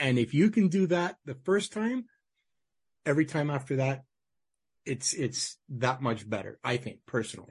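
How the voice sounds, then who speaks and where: Speaking in a Canadian accent, a man with a fairly high, somewhat breathy voice talks at a moderate pace with lively intonation and long, frequent pauses. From Manitoba, Canada. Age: 50s. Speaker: podcast host. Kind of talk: interview.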